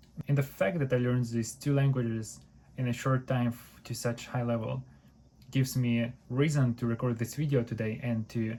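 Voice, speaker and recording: On a very clean recording with a silent background, a man with a Ukrainian accent sounds somewhat breathy, his intonation fairly even. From Ukraine. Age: 20s. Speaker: university student and language learner. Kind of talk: tutorial.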